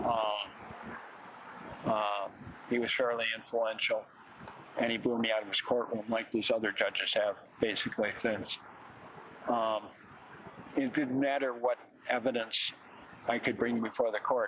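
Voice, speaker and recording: Against noticeable background noise, a man speaks at a medium pitch and moderate pace in a monotone, flat intonation, with very even loudness and long, frequent pauses. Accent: American. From Illinois, Chicago area. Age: 70s. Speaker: protester. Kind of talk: interview. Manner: halting, many fillers.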